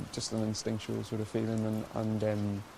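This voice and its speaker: There is noticeable background noise behind a man with a Northern Irish accent. He speaks at a moderate pace with a fairly low pitch. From Ireland. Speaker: actor. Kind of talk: interview answer.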